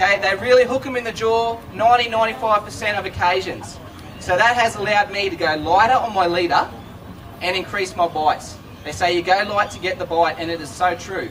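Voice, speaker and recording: Loud and high-pitched, a man with an Australian accent talks at a fairly quick pace with ordinary pitch variation over noticeable background noise. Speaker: fishing presenter. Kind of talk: live demonstration to audience. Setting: stage with audience at trade show.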